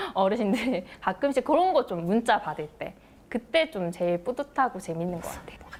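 A woman with a Busan accent, fairly high in pitch, at a moderate pace, with very wide pitch swings, big swings in loudness, and noticeable background noise. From Busan, South Korea. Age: 30s. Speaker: announcer and broadcaster. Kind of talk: TV talk show interview answer.

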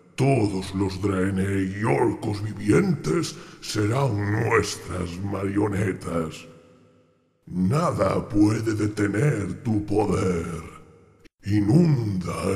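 Man's menacing put-on character voice at a very slow pace, with slight echo. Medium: dub. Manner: menacing, authoritative.

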